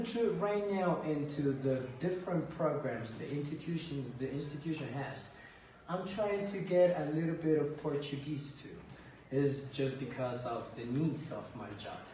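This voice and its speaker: An American-accented man speaks at a fairly slow pace in a fairly high voice, with lively intonation, big swings in loudness and noticeable background noise. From United States (Ecuadorian family). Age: 30s. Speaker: language teacher. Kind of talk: interview.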